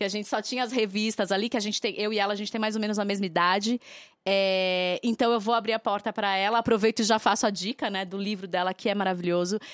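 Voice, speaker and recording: On a very clean recording with a silent background, a woman speaks very fast at a medium pitch with fairly even intonation. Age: 30s. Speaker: podcast co-host. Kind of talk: casual chat.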